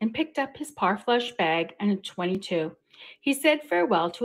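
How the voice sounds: Lively intonation runs through the clip. It is a natural reading voice.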